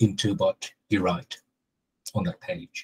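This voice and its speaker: A man speaks at a moderate pace, his voice somewhat breathy. The background is quiet. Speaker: SEO consultant; panelist. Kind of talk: casual chat. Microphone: video call.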